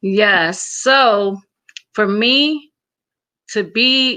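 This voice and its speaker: A woman with a Samoan accent speaks at a medium pitch with a bright, sharp tone and ordinary pitch variation. The background is quiet. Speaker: motivational speaker. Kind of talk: interview.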